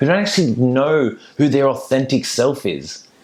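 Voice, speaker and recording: Animated in tone, a man with an Australian accent speaks at a moderate pace and a medium pitch. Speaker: mindset coach. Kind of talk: motivational talk. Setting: virtual summit.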